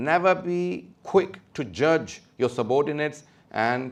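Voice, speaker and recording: A man speaks with lively intonation. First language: not English. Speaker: Islamic scholar. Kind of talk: lecture. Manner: hesitant, with fillers.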